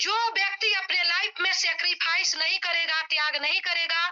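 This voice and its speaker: The woman's pitch is extremely high, with ordinary pitch variation. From Bihar, India (Bettiah district). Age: 20s. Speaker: network marketing leader. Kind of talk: motivational talk. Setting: video call, sitting outdoors on campus. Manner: animated.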